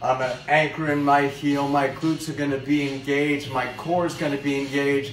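Faint music plays in the background as the voice moves at a fairly slow pace with audible room echo. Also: man. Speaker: fitness trainer. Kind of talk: tutorial. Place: home room. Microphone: phone near.

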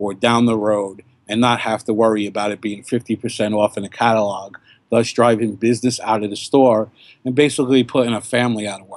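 Speaking with a New York accent, a man talks. His intonation is flat and monotone. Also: dry sound with no echo. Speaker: cigar blogger and podcaster. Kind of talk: casual interview chat. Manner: talkative, rambling. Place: garden. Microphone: webcam.

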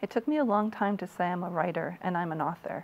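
A woman talks at a fairly quick pace in a fairly low voice. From US Midwest, Iowa. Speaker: author; interviewee. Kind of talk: interview. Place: studio. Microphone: lapel.

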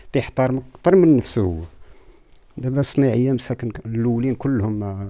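A man talks in a dark, mellow tone with ordinary pitch variation. The background is quiet. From Morocco, Casablanca. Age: 50s. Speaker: traditional tailor. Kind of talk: interview testimony. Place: home room. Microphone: handheld.

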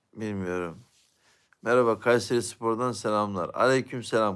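The recording is very clean, with a silent background. A man with a fairly low pitch speaks at a moderate pace. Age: 40s. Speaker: YouTube live streamer. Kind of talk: casual live-stream chat reading viewer comments.

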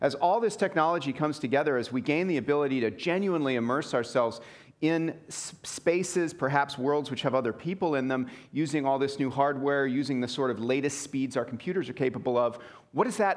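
Pitch varies ordinarily as the man talks fairly briskly. Behind him, there is little noise. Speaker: keynote speaker. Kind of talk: lecture. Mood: enthusiastic, reflective. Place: hall.

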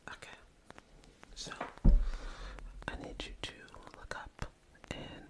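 A woman is whispering. Her pace is fairly slow. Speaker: ASMR creator. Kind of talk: ASMR personal attention role play. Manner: whispered; soothing. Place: home room. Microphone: studio mic.

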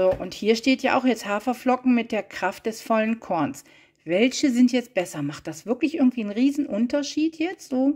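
A woman speaks at a moderate pace with a high pitch and lively intonation against a quiet background. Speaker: vlogger. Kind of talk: casual haul video narration. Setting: at car trunk. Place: kitchen. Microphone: phone near.

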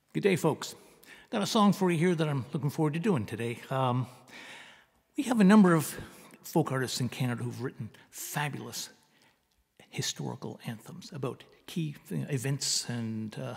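A somewhat breathy man at a moderate pace, with long, frequent pauses, against a quiet background. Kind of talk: casual song introduction. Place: home room. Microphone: studio mic.

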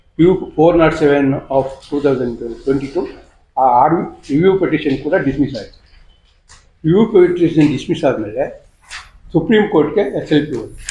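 A man speaks at a fairly high pitch with ordinary pitch variation. Audible room echo surrounds his voice. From Karnataka, Channapatna area (Ramanagara district). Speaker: landowner in a court dispute. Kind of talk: press conference statement. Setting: press conference.

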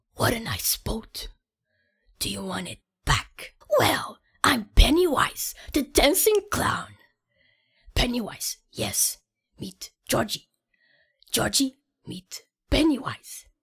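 In a put-on character voice with a menacing tone, a woman speaks at a high pitch and a very slow pace, leaving long, frequent pauses. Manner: creepy, coaxing, menacing.

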